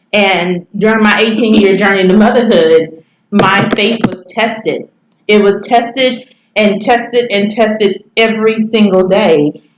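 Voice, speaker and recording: Speaking in a Louisiana accent, a woman keeps a fairly high pitch and fairly even intonation. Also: fairly slow pace. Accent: Southern US (Louisiana). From Louisiana, US South. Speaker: motivational speaker and author. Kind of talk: podcast interview. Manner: loud laughing.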